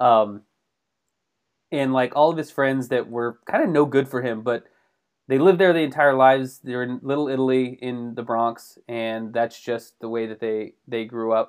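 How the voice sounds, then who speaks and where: A man with an ordinary speaking voice, medium in pitch, at a moderate pace and with fairly even intonation. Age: 40s. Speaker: podcast co-host. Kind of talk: casual chat. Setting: video call.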